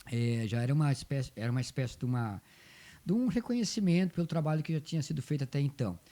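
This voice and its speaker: Very fast and very even in loudness, a man's fairly high voice has a dark, mellow tone and very wide pitch swings, in a very clean recording with a silent background. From southern Brazil, Rio Grande do Sul. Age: 60s. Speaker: folk dance group coordinator. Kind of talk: interview.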